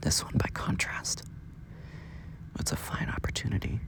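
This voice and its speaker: A man whispers at a fairly slow pace. Noticeable background noise runs underneath. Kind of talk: late-night sleep ramble, pillow talk. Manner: quiet, sleepy, rambling, yawning.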